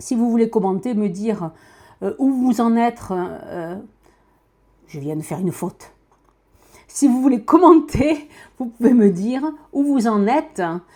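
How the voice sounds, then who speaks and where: In a Toulouse accent, a woman with a fairly high pitch and a dark, mellow tone speaks at a fairly slow pace, with very wide pitch swings and long, frequent pauses. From France, Toulouse. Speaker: podcaster. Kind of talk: casual monologue. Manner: natural speed, hesitant with fillers.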